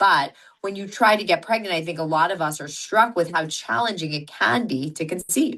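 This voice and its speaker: A loud, bright, sharp voice with lively intonation over a quiet background. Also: woman, fairly low pitch for a woman, moderate pace. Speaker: fertility doctor. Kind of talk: interview.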